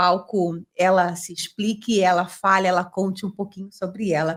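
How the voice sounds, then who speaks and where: Speaking in a bright, sharp tone, a woman takes a fairly slow pace. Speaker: podcast host. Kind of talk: casual interview.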